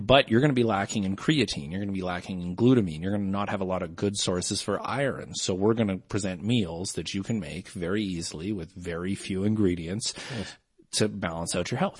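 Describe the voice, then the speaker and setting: A man speaks at a fairly quick pace with a slight Canadian accent. His pitch is fairly low, with ordinary pitch variation. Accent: mild Canadian. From Canada. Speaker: podcast guest, comedian and voice performer. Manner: explains at length, conversational.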